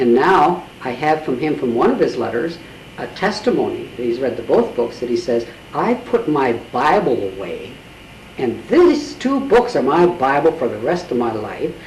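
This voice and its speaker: Noticeable background noise and audible room echo surround a man with a fairly high pitch, very wide pitch swings and a moderate pace. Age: 70s. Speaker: author and spiritual healer. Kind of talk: interview.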